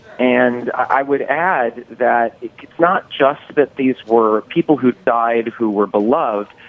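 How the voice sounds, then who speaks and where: Over noticeable background noise, a man speaks at a very slow pace with hardly any pauses and ordinary pitch variation. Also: medium pitch for a man. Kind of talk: news guest commentary.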